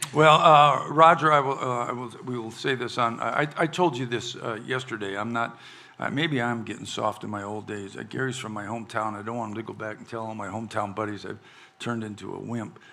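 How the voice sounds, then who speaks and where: Speaking at a fairly quick pace, a man with a medium pitch and ordinary pitch variation swings widely in loudness, with audible room echo around him. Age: 70s. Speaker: podcast host and country musician. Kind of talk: casual chat. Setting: stage with audience. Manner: halting.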